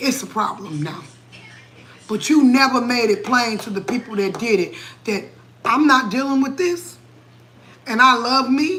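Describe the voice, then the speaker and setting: A woman's high-pitched, animated voice with lively intonation, over noticeable background noise. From New England. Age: 40s. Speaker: cooking livestreamer. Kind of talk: livestream chat, motivational rant. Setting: live stream at home, late night. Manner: animated, preachy.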